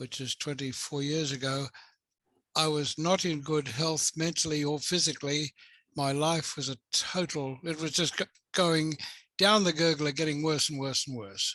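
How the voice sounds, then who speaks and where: A man speaks with an Australian accent in a bright, sharp tone at fairly high pitch. His intonation is fairly even, against a quiet background. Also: moderate pace. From rural Australia. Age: 80s+. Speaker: psychotherapist. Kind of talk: interview.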